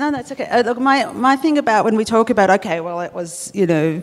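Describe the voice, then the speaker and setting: With music in the background, a woman talks with lively intonation in an Australian accent. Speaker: columnist. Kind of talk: live panel discussion. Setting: stage with live audience.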